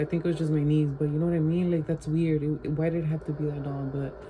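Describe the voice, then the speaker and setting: Noticeable background noise sits behind a woman. Her very deep, low voice stays monotone and flat. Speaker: vlogger. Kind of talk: casual vlog chat.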